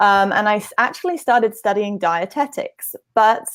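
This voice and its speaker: With a British accent, a woman speaks at a moderate pace. Her pitch is fairly high, with ordinary variation. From UK. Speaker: nutrition practitioner and blogger. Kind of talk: interview. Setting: live stream video.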